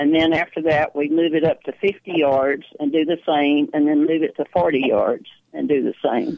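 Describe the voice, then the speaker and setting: A woman with a strong Texas accent, a very deep, low pitch, very even loudness and fairly even intonation. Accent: strong Texas drawl. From small-town central Texas. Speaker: archer and senior games athlete. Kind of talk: radio interview chat. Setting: phone call.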